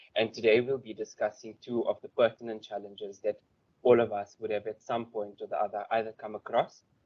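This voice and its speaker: Using monotone, flat intonation, a man speaks at medium pitch and a fairly quick pace. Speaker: forensic investigations lawyer. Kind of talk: conference presentation. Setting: stage with audience. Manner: soft-spoken.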